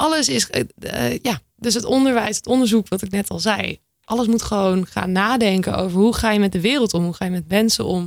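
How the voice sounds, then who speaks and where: A woman talking at a moderate pace, medium in pitch, her intonation lively. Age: 20s. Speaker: sustainability community manager, climate activist. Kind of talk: casual chat. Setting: studio. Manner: animated.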